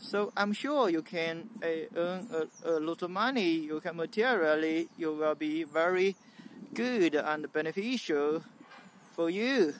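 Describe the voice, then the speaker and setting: A high-pitched man talks at a fairly slow pace with ordinary pitch variation, the sound dry with no echo and light background noise. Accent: Chinese. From mainland China. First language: Mandarin Chinese. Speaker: YouTuber; vlogger. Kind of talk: vlog monologue. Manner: halting, many fillers. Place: garden. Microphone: phone near.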